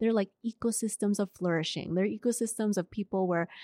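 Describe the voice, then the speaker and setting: In an ordinary speaking voice, a woman talks at a moderate pace with fairly even intonation, the sound dry and close with no echo and the background quiet. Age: 40s. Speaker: school administrator. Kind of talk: casual interview. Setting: library.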